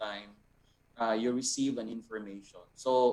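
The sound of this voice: A man at a medium pitch, at a slow pace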